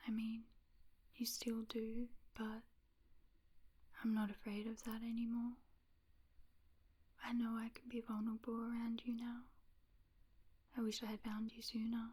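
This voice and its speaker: A soft-spoken woman with an Australian accent, fairly high in pitch but dark and mellow in tone, flat and monotone, at a fairly slow pace with long, frequent pauses. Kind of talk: ASMR roleplay, pillow talk.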